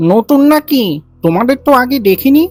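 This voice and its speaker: Faint music plays behind a woman's high-pitched, cartoonish character voice. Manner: quick, chatty.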